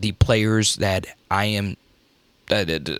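A man speaks at a very slow pace in a fairly low pitch. The sound is dry and close, with no echo. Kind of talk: casual commentary monologue. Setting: traveling, staying at a relative's home. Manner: low-key, quieter than usual.

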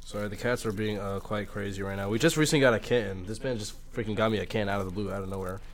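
A man speaks at a very fast pace with hardly any pauses. His pitch is fairly low and his intonation fairly even. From Manhattan, New York. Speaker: podcast co-host. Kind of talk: casual banter. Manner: laid-back, slangy.

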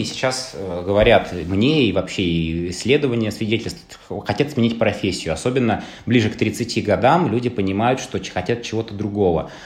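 Somewhat breathy, a man's fairly low voice moves with lively intonation. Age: 30s. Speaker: podcast host. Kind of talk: casual chat.

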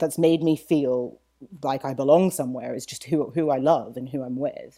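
Speaking in a British accent, a woman has a dark, mellow tone and a fairly slow pace. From mixed upbringing: UK, Saudi Arabia, US. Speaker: author and lawyer. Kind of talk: podcast interview. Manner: halting, many fillers and repetitions.

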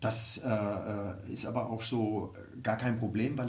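Somewhat breathy, a man speaks at a moderate pace with audible room echo. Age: 50s. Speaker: football club executive. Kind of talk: interview. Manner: halting, many fillers.

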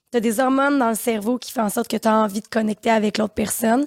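At a fairly quick pace, a woman with a Quebec accent speaks at a fairly high pitch and fairly even intonation, sounding dry and close with no echo on a very clean recording with a silent background. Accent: Québécois French. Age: 30s. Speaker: podcast co-host. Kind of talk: casual chat. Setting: studio.

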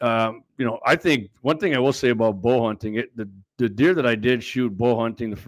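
In a plain, everyday voice, a man with an American accent talks at medium pitch with fairly even intonation, the sound dry and close with no echo and the recording very clean over a silent background. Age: 50s. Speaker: gun show host. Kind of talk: casual chat.

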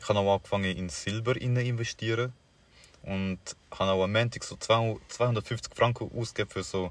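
A man with a fairly low pitch speaks at a moderate pace, his intonation fairly even. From Paraguay. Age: young. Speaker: podcast co-host. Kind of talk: casual chat. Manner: mumbling.

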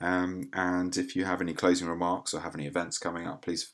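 Very deep and low, a man's voice moves at a fairly quick pace in an English accent. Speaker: podcast host and gynecologist. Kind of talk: interview. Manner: halting, many fillers.

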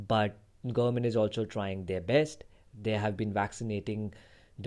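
Speaking with an Indian accent, a man uses a fairly low pitch and a dark, mellow tone, keeping his intonation fairly even at a moderate pace. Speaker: podcast host, software developer. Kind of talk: solo podcast monologue. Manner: halting.

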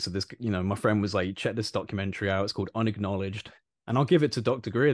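Against a quiet background, a man with a British accent talks in a fairly low pitch with fairly even intonation. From UK. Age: 20s. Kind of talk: casual chat.

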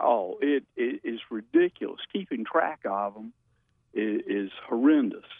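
A man speaks at a fairly slow pace, his loudness swinging widely. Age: 60s. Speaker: caller, heart patient. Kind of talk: call-in question. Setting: phone call.

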